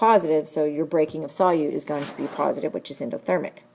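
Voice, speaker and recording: Against noticeable background noise, a woman with a very deep, low pitch talks at a very fast pace with ordinary pitch variation. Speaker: chemistry teacher. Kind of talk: lecture. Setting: screencast recording.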